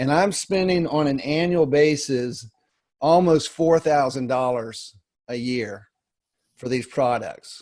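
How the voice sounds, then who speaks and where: A man speaks at a very slow pace with a fairly high pitch. His pitch variation is ordinary. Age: 50s. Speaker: wellness product distributor. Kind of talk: webinar discussion.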